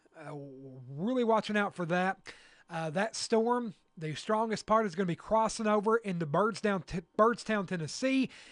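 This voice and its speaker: A man's high voice in a Kentucky accent, at a moderate pace with ordinary pitch variation and big swings in loudness, dry and close with no echo over a quiet background. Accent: southern US (Kentucky). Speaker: radio weather broadcaster. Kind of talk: live severe weather coverage. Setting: radio studio with livestream. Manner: halting, many fillers.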